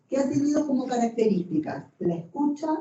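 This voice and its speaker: With an Argentine accent, a woman talks at a fairly quick pace and with lively intonation. Audible room echo surrounds her voice. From Argentina. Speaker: canon lawyer and professor. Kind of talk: lecture. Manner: hesitant fillers, conversational.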